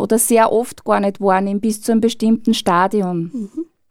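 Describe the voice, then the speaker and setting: A woman speaks in an ordinary speaking voice, fairly high in pitch, with fairly even intonation at a fairly slow pace. The recording is very clean, with a silent background. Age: 50s. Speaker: burnout prevention trainer. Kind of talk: radio interview.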